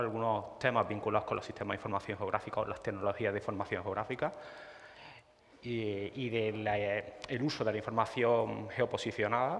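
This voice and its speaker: The man's pitch is medium and his intonation fairly even. He speaks at a moderate pace. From Spain, Córdoba (Andalusia). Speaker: GIS consultant presenting at a tech talk. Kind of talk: conference presentation. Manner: halting, many fillers and repetitions.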